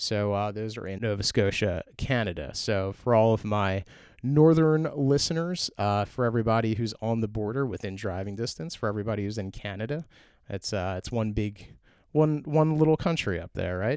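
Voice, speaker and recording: Here a man speaks in a plain, everyday voice. He keeps a medium pitch and a moderate pace. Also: very clean recording, silent background. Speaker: podcast host. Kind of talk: podcast interview host.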